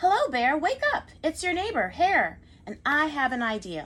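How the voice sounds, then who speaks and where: A woman puts on a character voice, high-pitched and raised to project, at a moderate pace. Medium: read story.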